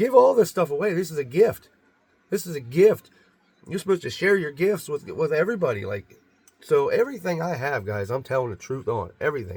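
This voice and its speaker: A man talks at a fairly quick pace with vocal fry. His fairly high pitch swings very widely. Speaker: video blogger about Bigfoot encounters. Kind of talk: casual monologue to camera. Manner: fast; halting, many repetitions.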